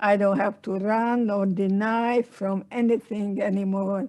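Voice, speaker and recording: On a very clean recording with a silent background, a woman with a Hungarian accent speaks at a fairly slow pace with medium pitch and fairly even intonation. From Hungary. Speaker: Holocaust survivor and psychotherapist. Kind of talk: interview.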